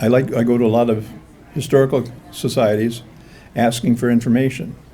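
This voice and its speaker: With an American accent, a man talks fairly quickly at a medium pitch with ordinary pitch variation, over noticeable background noise. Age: 70s. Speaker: author and Civil War historian. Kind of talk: history talk. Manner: halting.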